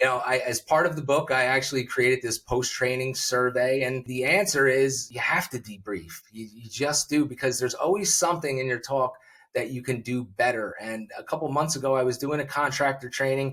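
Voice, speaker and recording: The voice moves at a fairly quick pace with hardly any pauses. Its tone is bright and sharp, with ordinary pitch variation. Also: man, medium pitch for a man. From New Jersey. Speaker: public speaking coach. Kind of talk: interview conversation. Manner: fast.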